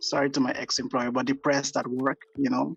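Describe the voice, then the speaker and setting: A man with a Guyanese accent at a fairly quick pace, monotone and flat in intonation, in a dry, close sound with no echo. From Guyana. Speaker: illustrator and graphic designer. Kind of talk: casual interview chat. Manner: hesitant, many fillers.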